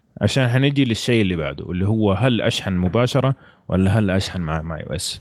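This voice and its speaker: Pitched fairly low, a man speaks at a fairly quick pace, his voice swinging very widely in pitch. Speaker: guest. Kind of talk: casual chat.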